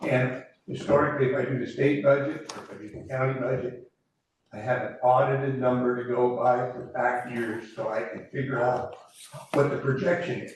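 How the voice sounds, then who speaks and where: A man with an American accent at a medium pitch, with fairly even intonation, a moderate pace, big swings in loudness, and audible room echo. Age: 80s+. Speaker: commercial fisherman. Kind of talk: public comment at council meeting. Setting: city council meeting room.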